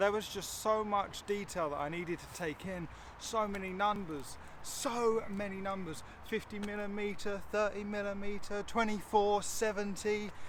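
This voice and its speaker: Audible room echo carries a man's high-pitched voice at a moderate pace. His intonation stays fairly even. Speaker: photography vlogger. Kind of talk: casual tutorial vlog.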